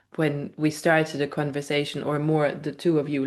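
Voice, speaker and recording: A woman speaks with a non-native accent and a very deep, low pitch. Her pace is fairly quick. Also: quiet background. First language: not English. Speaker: spiritual channeler. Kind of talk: casual interview chat.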